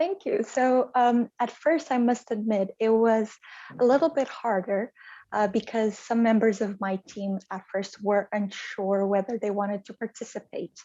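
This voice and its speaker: A woman with a fairly high pitch and a Portuguese accent. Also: ordinary pitch variation, moderate pace. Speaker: translation project manager. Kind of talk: interview.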